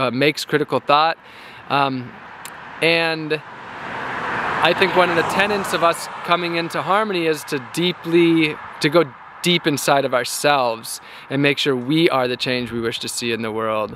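At a moderate pace, a man talks with ordinary pitch variation in a dry sound with no echo, over noticeable background noise. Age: 30s. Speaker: activist and vlogger on a long-distance walk. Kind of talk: casual vlog monologue. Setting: outdoors by the side of the road. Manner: laughing, relaxed and candid. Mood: earnest, reflective. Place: street. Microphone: phone near.

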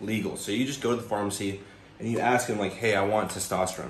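Light background noise and audible room echo accompany a man speaking. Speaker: fitness vlogger. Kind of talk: casual vlog chat. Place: kitchen. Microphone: phone near.

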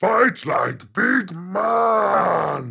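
A man puts on a character voice. He growls as he speaks.

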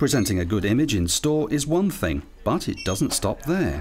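A man speaks at a moderate pace with big pitch swings. His pitch is fairly low and his tone slightly mellow.

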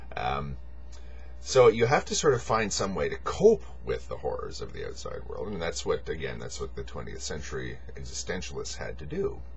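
Over light background noise, a man speaks at a moderate pace with big swings in loudness. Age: 40s. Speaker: video blogger. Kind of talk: monologue. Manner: halting; rambling. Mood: reflective, earnest. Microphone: webcam.

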